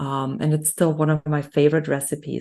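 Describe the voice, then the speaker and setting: A woman with a German accent speaks in a very deep, low pitch with a dark, mellow tone against a quiet background. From Germany. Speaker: nutrition health coach. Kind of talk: interview conversation.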